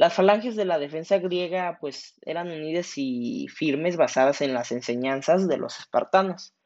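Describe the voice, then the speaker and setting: A moderate pace in a Mexican accent. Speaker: podcast host. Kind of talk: casual storytelling monologue. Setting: at home during quarantine.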